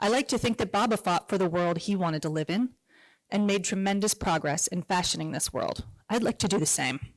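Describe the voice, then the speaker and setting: A normal speaking voice from a woman at medium pitch and fairly quick pace, lively intonation and very even loudness, in a dry, close sound with no echo. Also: very clean recording, silent background. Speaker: grandchild giving a tribute. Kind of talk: tribute speech read aloud.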